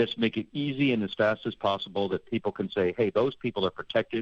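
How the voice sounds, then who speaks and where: Someone with an American accent speaks at a fairly quick pace over music in the background. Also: man. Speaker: public health expert, organisation director. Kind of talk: radio interview.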